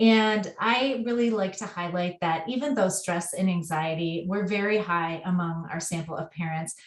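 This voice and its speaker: A woman speaks at a moderate pace with hardly any pauses. It is an ordinary speaking voice. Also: medium pitch for a woman, ordinary pitch variation. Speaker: researcher. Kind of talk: webinar presentation. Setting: webinar.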